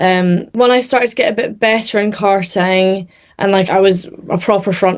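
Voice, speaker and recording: A woman speaks with a Scottish accent. Her intonation is fairly even. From Scotland. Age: 20s. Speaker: racing driver. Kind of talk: interview.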